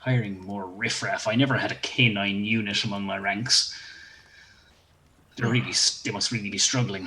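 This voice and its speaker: A man speaks in a put-on character voice, fairly low in pitch, at a moderate pace. His intonation stays fairly even, broken by long, frequent pauses. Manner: sarcastic, snide.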